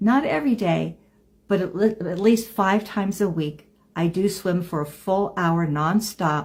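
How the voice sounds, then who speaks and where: A woman speaks fairly slowly in a somewhat breathy voice, her pitch varying in an ordinary way. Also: medium pitch for a woman. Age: 70s. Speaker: lifestyle vlogger. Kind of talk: casual monologue to camera. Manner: halting.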